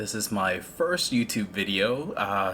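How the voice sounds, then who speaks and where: A man with a fairly low pitch uses lively intonation. He speaks at a very slow pace. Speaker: gaming guide creator. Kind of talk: game tutorial voiceover. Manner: slow, hesitant with many fillers.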